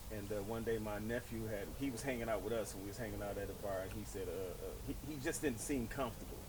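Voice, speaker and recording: A man talks at a very fast pace with hardly any pauses and fairly even intonation, his voice carrying audible room echo. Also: medium pitch for a man. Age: 60s. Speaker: podcast host and former DJ. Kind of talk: casual chat.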